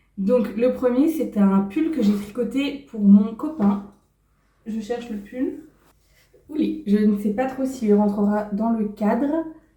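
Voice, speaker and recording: Speech comes at a very slow pace with ordinary pitch variation. There is audible room echo. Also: woman, fairly high pitch for a woman. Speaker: sewing and knitting YouTuber. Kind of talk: casual vlog talk.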